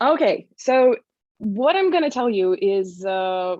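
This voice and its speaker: A woman speaks in a Russian accent, recorded with a dry, close sound with no echo and a quiet background. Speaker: privacy awareness manager. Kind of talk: conference presentation. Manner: hesitant, many fillers.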